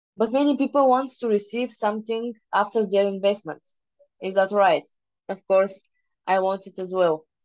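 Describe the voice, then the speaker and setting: Speaking with a Bulgarian accent, a woman talks at a moderate pace in a medium-pitched voice with ordinary pitch variation. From Bulgaria, Varna. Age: 20s. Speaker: private investor. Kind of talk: presentation. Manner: halting.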